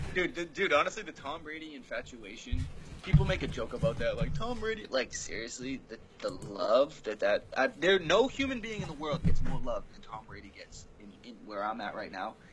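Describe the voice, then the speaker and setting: Through noticeable background noise, a man with an American accent and a fairly high pitch speaks at a moderate pace, with very wide pitch swings and big swings in loudness. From Massachusetts, north of Boston. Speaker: podcast guest. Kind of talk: casual chat.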